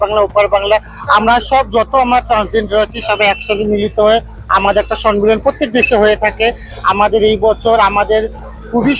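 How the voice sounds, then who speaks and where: The sound is dry with no echo as a man talks in a high pitch with a monotone, flat intonation. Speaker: interviewee. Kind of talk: interview answer. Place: street. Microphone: handheld.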